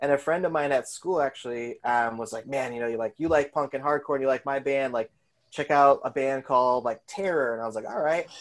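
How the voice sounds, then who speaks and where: Recorded very cleanly against a silent background, a man with an American accent and an ordinary speaking voice talks at a fairly quick pace, fairly high in pitch, with fairly even intonation. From Colorado. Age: 30s. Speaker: high school English teacher and zine and record label owner. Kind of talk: casual interview chat.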